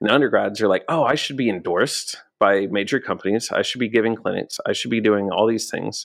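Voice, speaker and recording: Over a silent background in a very clean recording, a man talks at a very fast pace with hardly any pauses. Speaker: social media business owner and musician. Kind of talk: casual interview chat. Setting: in-person studio, streamed live.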